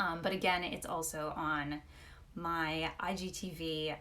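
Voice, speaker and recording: Against audible room echo, a woman speaks at a fairly low pitch with fairly even intonation. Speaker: personal stylist and image consultant. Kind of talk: live Q&A. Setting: live stream.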